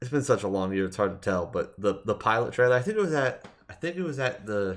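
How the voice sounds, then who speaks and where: The background stays quiet. A man talks, his intonation lively. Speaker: gaming podcast host. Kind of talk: solo podcast commentary. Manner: fast; casual, filler-heavy.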